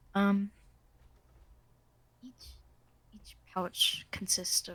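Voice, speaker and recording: A woman at a very slow pace, medium in pitch and somewhat breathy. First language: not English. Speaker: game master. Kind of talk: tabletop role-play narration. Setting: recorded group session.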